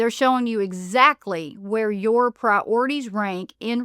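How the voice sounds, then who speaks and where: A woman with an Appalachian accent speaks at a fairly high pitch. The recording is very clean with a silent background and a dry, close sound with no echo. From Appalachia, USA. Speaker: podcast host. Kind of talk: podcast monologue.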